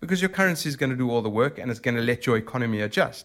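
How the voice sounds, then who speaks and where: With a South African accent, a man of medium pitch speaks very fast with lively intonation on a very clean recording with a silent background. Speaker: emerging market debt portfolio manager. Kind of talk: interview. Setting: in person.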